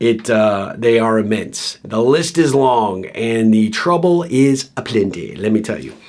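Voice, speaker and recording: With a plain, everyday voice, a man speaks at a medium pitch using lively intonation. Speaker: podcast host. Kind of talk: solo podcast episode. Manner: casual, conversational.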